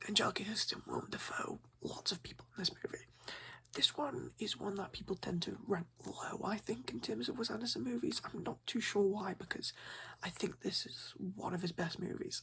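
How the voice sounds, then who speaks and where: A man is whispering. He keeps a moderate pace. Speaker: ASMR creator playing a movie shop owner. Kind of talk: ASMR roleplay, casual shop talk. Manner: soft-spoken, friendly, chatty.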